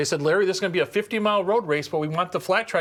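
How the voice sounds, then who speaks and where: A man with an Upper Midwest accent is heard on a very clean recording with a silent background. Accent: Upper Midwest American. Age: 60s. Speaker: custom motorcycle seat builder. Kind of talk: casual interview in his shop. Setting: motorcycle shop.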